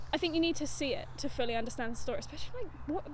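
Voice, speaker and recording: A woman speaks with an English accent. Noticeable background noise runs beneath her voice. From England. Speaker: podcast co-host. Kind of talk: casual chat. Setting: outdoors.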